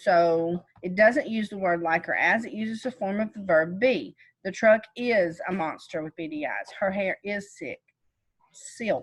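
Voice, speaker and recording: A woman with a plain, everyday voice talks at a medium pitch, at moderate speed, and with normal pitch variation. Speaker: teacher. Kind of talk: lecture.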